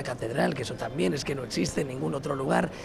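At a very fast pace, the voice makes very wide pitch swings amid noticeable background noise and audible room echo. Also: man. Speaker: tourism promotion official. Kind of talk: radio interview. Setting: trade fair. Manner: halting.

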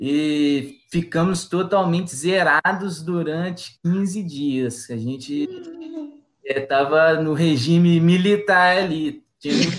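Very slow speech from a man, high in pitch, with ordinary pitch variation. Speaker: university student. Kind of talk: casual chat, storytelling.

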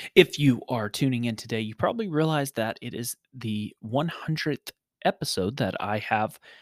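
A man of medium pitch talks at a moderate pace with big swings in loudness, the sound dry and close with no echo. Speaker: podcast host. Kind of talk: clip-show introductions and interviews. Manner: halting, filler words.

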